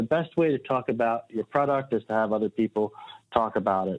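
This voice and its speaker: A man at a medium pitch with a Delaware accent. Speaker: website marketing consultant. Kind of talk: podcast interview.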